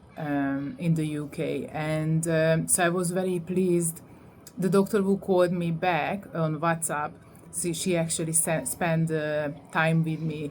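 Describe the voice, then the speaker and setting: In a Hungarian accent, a woman with a fairly low pitch speaks at a fairly slow pace with fairly even intonation, and audible room echo fills the sound. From Hungary. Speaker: vlogger. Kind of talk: testimony. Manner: halting, many fillers.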